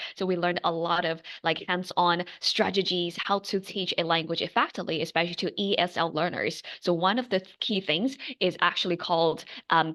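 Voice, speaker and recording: Against a quiet background, a woman speaks in a bright, sharp tone with fairly even intonation. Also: fairly low pitch for a woman, moderate pace. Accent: slight American. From China, Shanghai. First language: Mandarin Chinese. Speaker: online tutor and education entrepreneur. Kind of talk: interview conversation.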